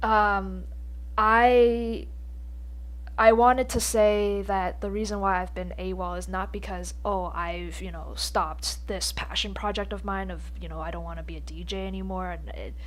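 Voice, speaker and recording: A woman with a very deep, low pitch speaks in a flat monotone, somewhat breathy, with big swings in loudness and audible room echo. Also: moderate pace. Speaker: podcast host. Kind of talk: casual solo podcast monologue. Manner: stuttering, halting with pauses.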